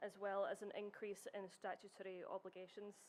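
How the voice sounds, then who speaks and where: A woman with a Scottish accent. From Scotland. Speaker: heritage researcher. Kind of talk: conference presentation. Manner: formal.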